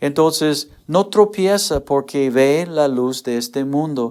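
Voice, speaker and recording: A man with a fairly high pitch uses lively intonation at a very slow pace. The recording is very clean, with a silent background. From United States. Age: 60s. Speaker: pastor. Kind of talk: sermon. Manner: halting.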